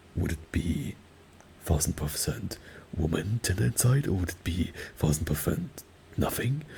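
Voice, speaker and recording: The speaker is soft-spoken. Noticeable background noise can be heard. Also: man. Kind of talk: ASMR rambling talk. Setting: virtual reality world.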